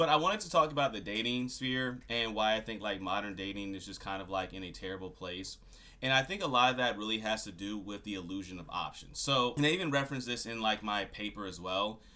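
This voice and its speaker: Speaking at a very fast pace with hardly any pauses, a man with a fairly low pitch and a bright, sharp tone shows ordinary pitch variation. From Louisiana. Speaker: YouTuber. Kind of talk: casual rant to camera. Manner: casual, filler-heavy.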